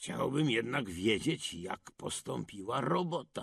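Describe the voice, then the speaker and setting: A man's raspy put-on character voice at medium pitch, with very wide pitch swings and a fairly slow pace. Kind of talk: fairy-tale character reading. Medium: read story.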